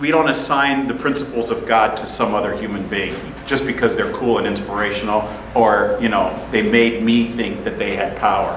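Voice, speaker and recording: The speaker talks at a fairly quick pace in an animated tone. Noticeable background noise and audible room echo fill the recording. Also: man. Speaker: pastor. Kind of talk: sermon. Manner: loud.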